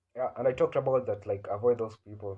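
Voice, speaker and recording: A man with an East African accent speaks at a medium pitch with lively intonation. His tone is dark and mellow, and somewhat breathy. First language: Swahili. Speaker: comedian. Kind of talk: casual monologue. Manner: halting, many fillers.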